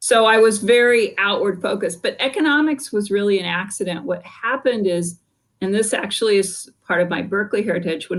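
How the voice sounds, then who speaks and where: At a fairly quick pace and with hardly any pauses, a woman with a Californian accent speaks at a medium pitch with ordinary pitch variation. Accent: Californian American English. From US West Coast, San Francisco Bay Area. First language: French. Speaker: business school dean and economist. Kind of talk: podcast interview.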